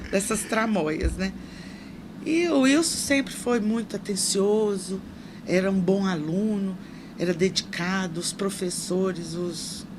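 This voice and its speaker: A woman speaks at a very slow pace in a medium pitch, with audible room echo and noticeable background noise. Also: ordinary pitch variation. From Brazil, Minas Gerais. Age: 60s. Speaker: social assistance secretary and nurse. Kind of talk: interview.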